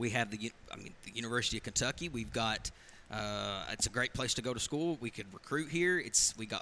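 A man with vocal fry talks at a fairly quick pace and a medium pitch, his intonation lively. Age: 30s. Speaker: local radio host. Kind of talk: casual chat. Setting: bar.

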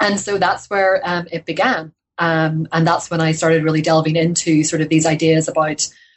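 This woman has a Northern Irish accent and a fairly low pitch. Her intonation stays fairly even. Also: moderate pace. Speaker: historian, author. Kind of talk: interview. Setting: podcast interview. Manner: hesitant, many fillers.

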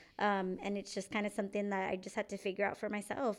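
A woman with an American accent talks at a very fast pace in a flat, monotone intonation. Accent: Texan Chicana English. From San Antonio, Texas. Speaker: military veteran and podcaster. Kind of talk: casual chat.

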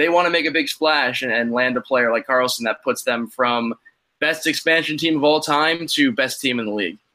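Bright and sharp in tone, a man's medium-pitched voice moves at a moderate pace with ordinary pitch variation. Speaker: hockey fan writer. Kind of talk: casual chat.

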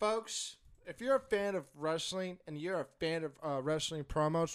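A man with an unremarkable speaking voice talks at a fairly slow pace with ordinary pitch variation, recorded very cleanly over a silent background. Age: 30s. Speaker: wrestling podcast co-host. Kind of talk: casual chat.

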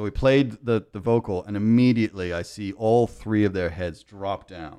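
This man speaks at a moderate pace with hardly any pauses. His fairly low voice has a dark, mellow tone and big swings in loudness. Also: ordinary pitch variation. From England (London), moved to New York as a teen. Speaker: music producer and former radio DJ. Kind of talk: casual chat. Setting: studio. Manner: animated.

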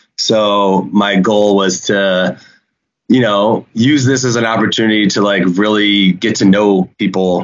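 With an ordinary speaking voice, a man talks at a fairly slow pace, his pitch fairly low, his intonation fairly even and his loudness very even. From Chicago, US Midwest. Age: 40s. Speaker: reality TV cast member. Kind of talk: casual chat.

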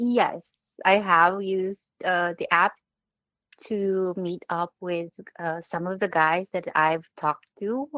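Dry and close with no echo, a woman speaks very slowly at medium pitch over a quiet background. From Philippines. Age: 30s. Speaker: caller. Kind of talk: phone-in advice conversation. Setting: phone call. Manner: soft-spoken; hesitant.

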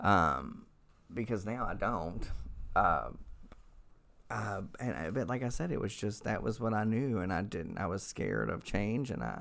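A man's fairly low, vocal-fried voice with an American accent, at a fairly slow pace with long, frequent pauses. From Oklahoma. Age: 40s. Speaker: recovering alcoholic sharing story. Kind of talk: testimony.

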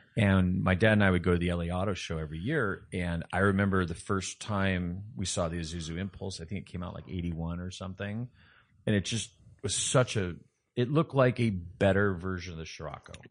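A man speaks at a fairly quick pace with a very deep, low pitch and ordinary pitch variation. He has an American accent, and the background is quiet. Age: 50s. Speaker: car enthusiast, former pathology lab worker. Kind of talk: casual chat.

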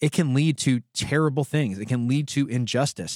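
A plain, everyday voice at a moderate pace, dry and close with no echo, on a very clean recording with a silent background. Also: man. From United States. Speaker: podcast co-host. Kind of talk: casual chat.

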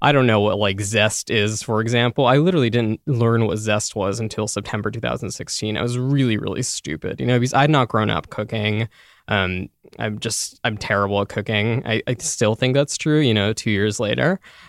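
A man with a plain, everyday voice, fairly low pitch and ordinary pitch variation at a fairly quick pace, on a very clean recording with a silent background and a dry, close sound with no echo. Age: 20s. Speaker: food writer. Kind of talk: interview.

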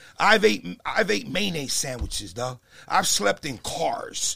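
With an American accent and vocal fry, a man speaks at a moderate pace in a bright, sharp tone, his pitch swinging very widely. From New Jersey. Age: 50s. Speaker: real estate investor. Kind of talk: casual chat. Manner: animated.

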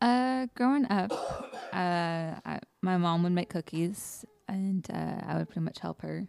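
A woman speaks at a fairly slow pace and medium pitch with lively intonation. The sound is dry and close, with no echo. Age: 20s. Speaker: guest co-host, a pastor's wife and mother. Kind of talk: casual chat. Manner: halting, many fillers.

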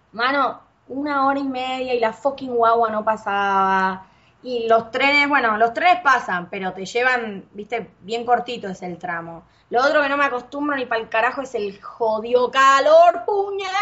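Here a woman speaks at a fairly slow pace in an animated tone. Her pitch is high, and her intonation is lively. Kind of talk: casual chat.

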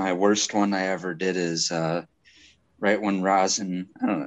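This man's voice is very deep and low, delivered in a flat monotone. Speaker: home grower. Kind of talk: casual chat.

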